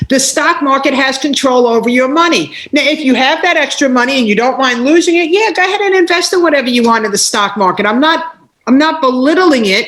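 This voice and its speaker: A woman's high-pitched voice, animated in tone, with lively intonation and very even loudness. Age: 60s. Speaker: life coach and entrepreneur. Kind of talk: interview.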